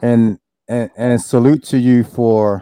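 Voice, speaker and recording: The man has a medium-pitched voice with a dark, mellow tone. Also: dry, close sound with no echo. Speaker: podcast host. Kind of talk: casual chat.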